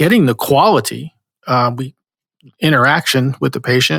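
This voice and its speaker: A man's fairly high voice with a New Jersey accent, ordinary pitch variation, and a dry, close sound with no echo. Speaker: podcast host, marketing company president. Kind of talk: podcast interview.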